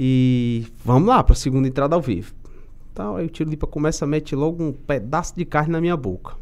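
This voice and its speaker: A man is talking. His pace is fairly quick. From Brazil, interior of Ceará (Aracati); Ceará, Brazil. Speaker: TV sports reporter and presenter; TV sports reporter, presenter. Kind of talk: casual interview chat. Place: studio. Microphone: studio mic.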